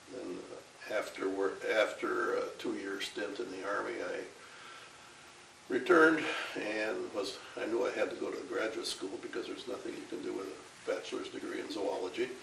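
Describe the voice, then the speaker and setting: A man with an Upper Midwest accent at a moderate pace, amid audible room echo and noticeable background noise. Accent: Upper Midwest American. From Minnesota, Ramsey County near Saint Paul. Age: 80s+. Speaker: retired professor. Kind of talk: interview. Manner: halting.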